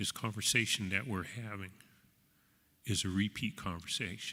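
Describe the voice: Here a man has a bright, sharp tone and a fairly low pitch. He keeps a moderate pace and fairly even intonation.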